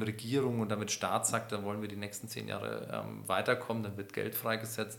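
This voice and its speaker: Audible room echo surrounds a man speaking at a moderate pace. His voice carries vocal fry and a monotone, flat intonation. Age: 40s. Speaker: rehab center managing director. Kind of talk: interview. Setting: in-person at the rehab center.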